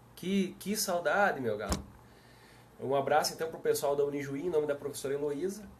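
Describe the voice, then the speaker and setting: In a southern Brazilian accent, a man with a fairly high pitch and ordinary pitch variation talks at a fairly quick pace over noticeable background noise. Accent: southern Brazilian (gaúcho). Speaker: police chief and law speaker. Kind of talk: live stream talk. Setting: live video stream. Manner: casual, friendly.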